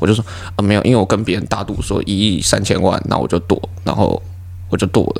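A man with a very deep, low pitch and ordinary pitch variation races at a very fast pace through noticeable background noise. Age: 20s. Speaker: comedian. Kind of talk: casual chat.

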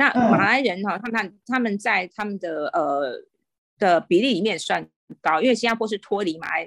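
A woman talks with lively intonation. Hers is an unremarkable speaking voice. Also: medium pitch for a woman, moderate pace. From Taiwan. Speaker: guest living abroad. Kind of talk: casual interview. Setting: remote call.

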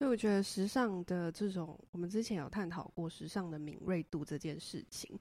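In a very clean recording with a silent background, a woman speaks with a fairly low pitch and a dark, mellow tone. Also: ordinary pitch variation, moderate pace. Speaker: podcast host. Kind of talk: casual chat.

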